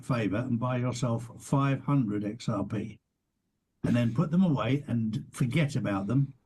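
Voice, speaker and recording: A dark, mellow tone marks this somewhat breathy voice. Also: man. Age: 60s. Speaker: podcast host. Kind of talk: casual interview chat.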